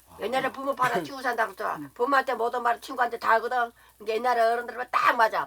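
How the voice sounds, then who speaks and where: This woman talks very fast at a fairly high pitch. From Jirisan area, South Korea. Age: 80s+. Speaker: mountain lodge keeper. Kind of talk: documentary interview answer.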